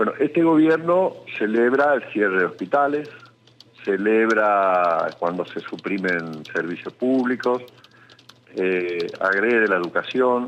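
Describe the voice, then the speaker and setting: A man talks very slowly at a medium pitch, his pitch swinging very widely over noticeable background noise. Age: 60s. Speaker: lawyer, former human rights official. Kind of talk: radio interview. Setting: phone call.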